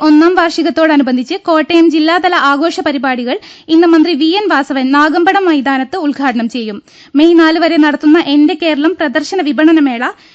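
Against a quiet background, a woman speaks at an extremely high pitch. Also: ordinary pitch variation. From Kerala. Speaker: radio newsreader. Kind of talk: news reading. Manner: formal. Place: studio.

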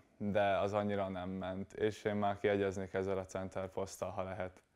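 A man's fairly low-pitched, an ordinary speaking voice, at a fairly slow pace against a quiet background. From Hungary, Kecskemét; Hungary. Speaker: volleyball player; guest. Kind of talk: studio interview. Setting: TV studio. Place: studio.

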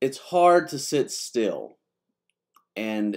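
The pitch variation is ordinary. The background is quiet. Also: man. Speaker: pastor. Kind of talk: devotional talk. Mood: warm, friendly. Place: office. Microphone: webcam.

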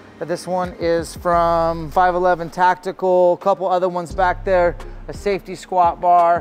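Over faint background music, a man speaks in a high pitch. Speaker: fitness coach. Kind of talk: casual tour commentary. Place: gym. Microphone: lapel.

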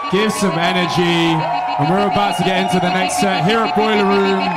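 Loud background noise is present throughout. Through it, a man talks at a moderate pace. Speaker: event host. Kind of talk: hype announcement. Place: stage. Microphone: handheld.

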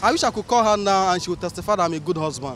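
The pace is very fast and the intonation lively. The tone comes across fairly bright. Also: man, high pitch for a man.

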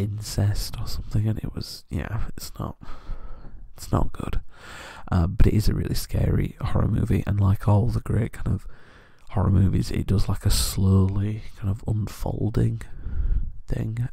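A soft-spoken man whispers at a moderate pace with a British accent. The sound is dry with no echo, and the background is quiet. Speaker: ASMR creator. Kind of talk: ASMR soft-spoken chat. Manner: soft-spoken whisper.

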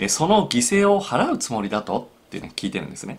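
A man talks at a fairly quick pace, his pitch swinging very widely. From Japan. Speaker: psychological counselor. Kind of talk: solo video talk. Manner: frequent filler hesitations. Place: home room.

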